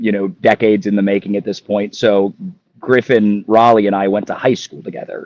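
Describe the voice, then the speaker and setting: An ordinary speaking voice with an American accent comes at a fairly quick pace. The sound is dry and close with no echo, and the intonation is fairly even. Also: man, fairly low pitch for a man. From Ohio. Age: 30s. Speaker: athlete. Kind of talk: podcast interview.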